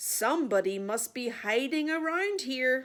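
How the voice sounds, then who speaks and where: A woman puts on a character voice, high in pitch. Her pitch swings very widely as she talks at a moderate pace. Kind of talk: bedtime story. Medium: read story.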